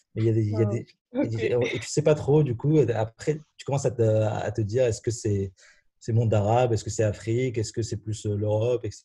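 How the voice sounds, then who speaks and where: A man talks at a fairly quick pace in a dark, mellow, somewhat breathy voice of medium pitch. The background is quiet. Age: 20s. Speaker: university student. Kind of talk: casual chat.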